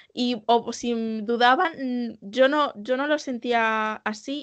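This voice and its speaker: A woman talks at a high pitch. Her intonation stays fairly even. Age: young. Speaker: podcast co-host. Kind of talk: casual chat.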